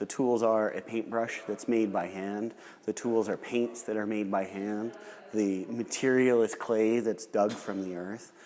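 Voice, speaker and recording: A medium-pitched man's voice, dark and mellow in tone, at a fairly slow pace. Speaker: gallery host interviewing a potter. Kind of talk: live demonstration commentary and interview. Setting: pottery gallery, live demonstration.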